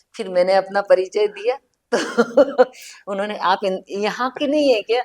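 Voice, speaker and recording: A woman talks at a medium pitch with ordinary pitch variation. The sound is dry and close, with no echo. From central India, Indore. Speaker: writer. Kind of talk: casual chat.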